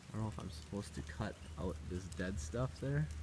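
A man's voice with noticeable background noise. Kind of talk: casual vlog chat. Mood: relaxed, thoughtful. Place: open country. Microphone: phone near.

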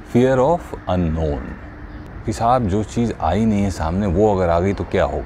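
The pace is fairly slow. Light background noise runs underneath. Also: man. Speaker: voice artist. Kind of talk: motivational storytelling.

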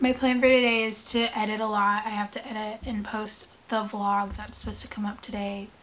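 A woman speaks with light background noise in the recording. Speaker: vlogger. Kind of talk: casual vlog chat. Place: home room. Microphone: phone near.

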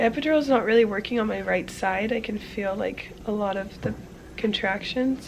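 A woman speaks at a moderate pace with fairly even intonation. Noticeable background noise runs underneath. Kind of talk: casual vlog chat. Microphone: phone near.

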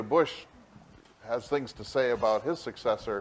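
A man talks at a moderate speed, his pitch moving in an ordinary way, with light noise behind him. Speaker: symposium moderator; moderator at podium. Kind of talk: Q&A discussion. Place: stage. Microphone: podium.

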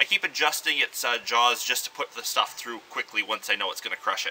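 A man speaks at a moderate pace while light background noise hums underneath. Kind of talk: tutorial. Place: street. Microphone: camera far.

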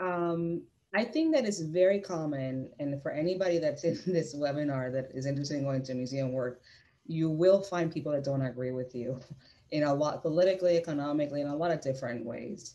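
At a fairly quick pace, the voice carries a dark, mellow tone with ordinary pitch variation. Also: woman, very deep, low pitch for a woman. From Puerto Rico. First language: Spanish. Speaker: museum curator; panelist. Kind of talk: panel discussion. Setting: video call. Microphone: earbuds.

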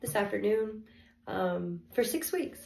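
A woman talks at a fairly high pitch, with audible room echo and noticeable background noise in the recording. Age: 20s. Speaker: vlogger. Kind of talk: unboxing video. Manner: hesitant, many fillers.

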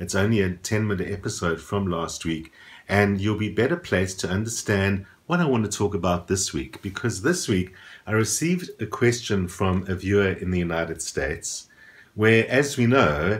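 The voice is somewhat breathy, moving at a moderate pace with ordinary pitch variation. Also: man, fairly low pitch for a man. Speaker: astrology vlogger. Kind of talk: casual vlog commentary. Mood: calm, thoughtful. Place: home room.

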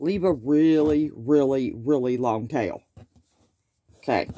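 This woman speaks with a Southern US accent, her very deep, low pitch carrying a dark, mellow tone. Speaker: crochet teacher. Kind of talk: tutorial. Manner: casual, chatty.

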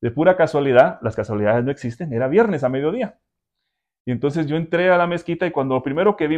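A man talks very fast with lively intonation. The background is quiet. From Guatemala. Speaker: interviewee. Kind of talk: testimony. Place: home room. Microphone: lapel.

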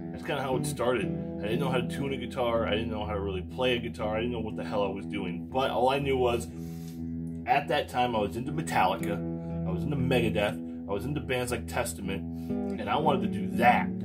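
Over loud music in the background, a man talks at a very fast pace. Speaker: musician vlogger. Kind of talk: casual vlog chat. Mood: reflective, personal. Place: home room. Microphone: phone near.

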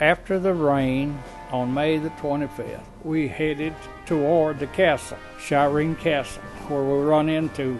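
With music playing in the background, a man speaks fairly slowly at a fairly high pitch, his intonation fairly even. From United States. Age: 80s+. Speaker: war veteran. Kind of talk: interview answer.

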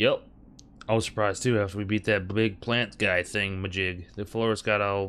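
Fairly even intonation, plain reading aloud

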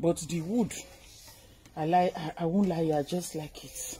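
Somewhat breathy and fairly low, a woman's voice comes through light background noise. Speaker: vlogger showing a purchase. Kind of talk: casual vlog chat. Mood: cheerful, pleased. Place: garden.

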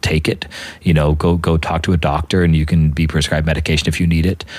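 Delivered at a fairly quick pace in a monotone, flat intonation, the speech has noticeable background noise behind it. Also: man. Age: 40s. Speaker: podcast host, priest. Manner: fast talker.

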